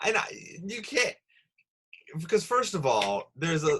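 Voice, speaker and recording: Moderate pace in a Midwestern accent. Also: man. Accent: Midwestern-sounding. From Rochester, New York, US. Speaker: comedy podcast host. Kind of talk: casual chat.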